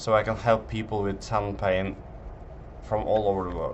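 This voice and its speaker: With a Norwegian accent, a man speaks at a moderate pace and a fairly low pitch. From Norway. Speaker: physiotherapist selling online tendon program. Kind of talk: sales pitch presentation. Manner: halting, with fillers.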